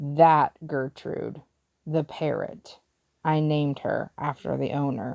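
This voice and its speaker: A mumbled, put-on character voice at a middle pitch and a fairly slow pace. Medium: read story. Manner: hesitant, mumbling.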